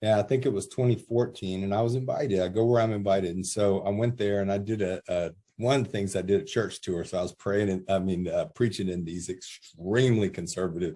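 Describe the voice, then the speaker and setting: With an American accent, a man talks at a very fast pace with hardly any pauses, using a fairly low pitch, a dark, mellow tone, and ordinary pitch variation. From USA. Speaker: gang intervention specialist and author. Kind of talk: interview. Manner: loud; animated.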